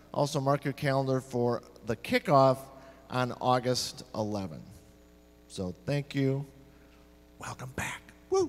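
Speaking at a very slow pace, a man uses ordinary pitch variation and leaves long, frequent pauses. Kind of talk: church announcements. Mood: cheerful, jokey. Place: church. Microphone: handheld.

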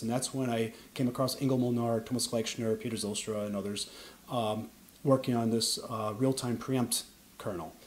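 A man talks at a fairly quick pace in an American accent. His pitch varies in an ordinary way. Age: 40s. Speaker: Linux kernel developer. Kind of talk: interview. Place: home room.

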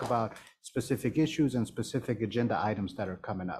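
The voice has an American accent and a dark, mellow tone at a fairly quick pace. Light background noise can be heard. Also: man. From Washington DC. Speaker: village manager; council member or official. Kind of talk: council meeting discussion. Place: meeting room. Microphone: podium.

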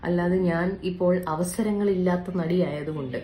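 Her voice is fairly low for a woman, with a dark, mellow tone and audible room echo around it.

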